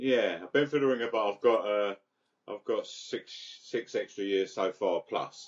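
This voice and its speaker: A man with a London accent at a moderate pace. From London, England (Crouch End, north London). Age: 60s. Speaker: recovering addict sharing his story. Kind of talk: casual interview, personal story. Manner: halting, many repeated words and fillers.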